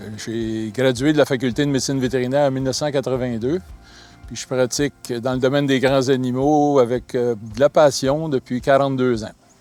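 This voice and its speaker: A man speaks at medium pitch and a moderate pace, his intonation fairly even. His loudness swings widely, and music plays in the background. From Quebec, Laval. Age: 60s. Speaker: large-animal veterinarian. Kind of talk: interview testimony.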